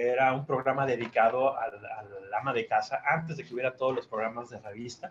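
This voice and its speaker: In an ordinary speaking voice, the speaker moves at a fairly quick pace with hardly any pauses, ordinary pitch variation and big swings in loudness. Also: man, medium pitch for a man. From Mexico City. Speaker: chef. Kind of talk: interview.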